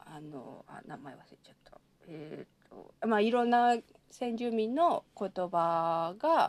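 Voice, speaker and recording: Speaking at a very slow pace, a woman with a fairly high pitch shows very wide pitch swings and big swings in loudness. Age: 30s. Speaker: anthropology doctoral student and literary translator. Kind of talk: casual chat.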